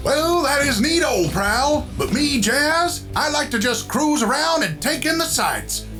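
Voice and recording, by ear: A man's put-on character voice at an extremely high pitch with big pitch swings, at a fairly slow pace over clear music in the background.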